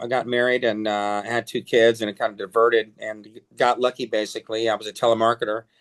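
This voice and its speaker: Dry and close with no echo, a man's medium-pitched voice runs at a fairly quick pace in a flat monotone with hardly any pauses. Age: 60s. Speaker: music producer and musician. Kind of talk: interview. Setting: home studio. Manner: halting.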